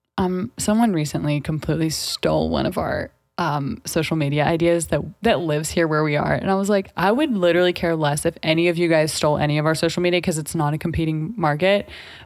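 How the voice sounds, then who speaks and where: Music plays behind a woman whose pitch is very deep and low. She talks at a very fast pace with very even loudness. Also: ordinary pitch variation. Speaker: real estate agent podcast co-host. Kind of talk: casual chat. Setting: studio. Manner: animated.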